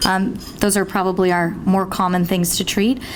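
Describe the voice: A woman's medium-pitched voice at a moderate pace, with little pitch movement and clear background noise.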